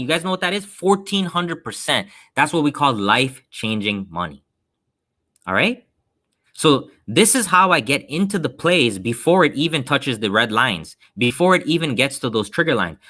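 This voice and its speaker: A man's fairly high voice with a bright, sharp tone, vocal fry and very wide pitch swings, on a very clean recording with a silent background. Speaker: stock trading educator. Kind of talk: live stream trading seminar. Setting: live stream. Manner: fast; animated.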